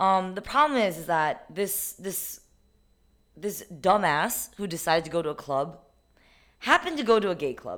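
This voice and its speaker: A woman at medium pitch talks at a moderate pace with lively intonation, big swings in loudness, and long, frequent pauses, on a very clean recording with a silent background. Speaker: podcast co-host, private tutor. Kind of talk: casual chat.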